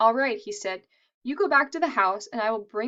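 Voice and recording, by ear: Over a quiet background, someone reads aloud in a natural voice with lively intonation.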